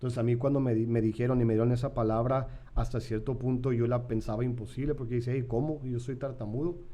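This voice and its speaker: Speaking very fast with hardly any pauses, a man uses a medium pitch and monotone, flat intonation amid audible room echo. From San Diego, California, to Mexican parents. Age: 30s. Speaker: pastor. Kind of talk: podcast interview. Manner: casual, repetitive fillers.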